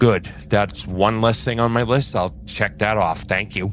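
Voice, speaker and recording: Over clear background noise, a raspy put-on character voice speaks at a moderate pace. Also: man, fairly low pitch for a man. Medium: actual play. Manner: brisk, clipped.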